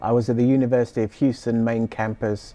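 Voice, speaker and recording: There's a British accent in this man's speech. He delivers his words very fast. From southeast England, Sussex. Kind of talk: interview.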